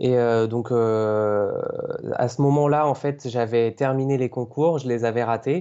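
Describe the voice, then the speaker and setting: This man speaks at a very slow pace with fairly even intonation. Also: medium pitch for a man. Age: 20s. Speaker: aspiring video game journalist, blogger. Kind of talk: podcast interview. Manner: hesitant, many fillers.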